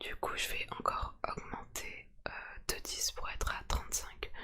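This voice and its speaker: Strained whispering at a very slow pace. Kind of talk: casual talk to camera. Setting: ASMR-style home recording. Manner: quiet, restrained, trying to stay silent.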